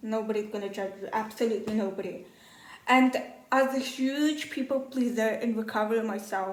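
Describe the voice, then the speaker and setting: A woman speaks with a non-native accent at a moderate pace. Her pitch varies in an ordinary way, and the room echo is audible. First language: not English. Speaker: first-time YouTuber, journaling advocate. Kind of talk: casual vlog monologue. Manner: casual, filler-heavy.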